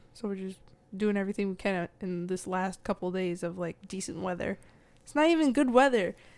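An ordinary speaking voice at a fairly quick pace, with ordinary pitch variation and big swings in loudness. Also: woman, medium pitch for a woman. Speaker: guest. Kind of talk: casual comedic chat. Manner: sarcastic, joking, quick-witted.

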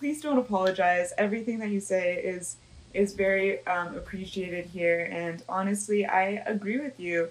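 A woman's unremarkable speaking voice at medium pitch, with ordinary pitch variation and a moderate pace. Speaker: student podcast host. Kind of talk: interview; scripted intro.

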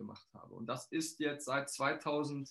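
The speaker is a man with a fairly high pitch. His tone is energetic. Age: 40s. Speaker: financial coach and trainer. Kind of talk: interview.

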